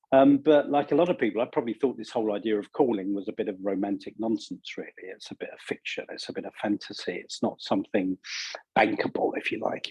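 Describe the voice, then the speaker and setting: A man with a British accent at a very fast pace, with big swings in loudness and a dry, close sound with no echo. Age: 60s. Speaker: leadership coach and author. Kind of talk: interview.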